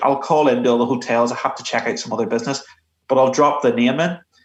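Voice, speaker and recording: A man speaks very fast in a Belfast accent. His pitch is fairly high, with ordinary variation. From Northern Ireland, Belfast. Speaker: retired police investigator. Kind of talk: interview. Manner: halting.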